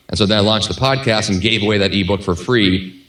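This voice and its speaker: Audible room echo and noticeable background noise surround a man talking at a fairly low pitch. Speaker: podcast host and author. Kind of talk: podcast interview. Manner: fast.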